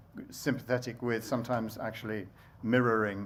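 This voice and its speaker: The room echo is audible as a man speaks in a flat monotone at a fairly low pitch. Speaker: baker and bread campaigner. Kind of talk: conference talk. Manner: fast; halting.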